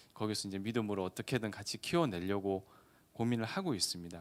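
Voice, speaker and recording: A man talks with a slight Gyeongsang accent. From Gyeongsang region, South Korea. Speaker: lawyer. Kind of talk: seminar lecture. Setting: seminar hall with audience, streamed online. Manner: conversational.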